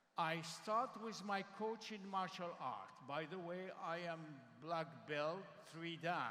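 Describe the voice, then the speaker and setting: Audible room echo surrounds a man whose high, bright, sharp voice moves at a very slow pace with ordinary pitch variation. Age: 60s. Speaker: panelist at company convention. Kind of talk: panel discussion at company convention.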